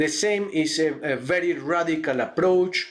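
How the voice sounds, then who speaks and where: A man speaks at a fairly slow pace with a fairly high pitch. Room echo can be heard. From Colombia. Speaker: university lecturer. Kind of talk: lecture. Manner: halting, many fillers.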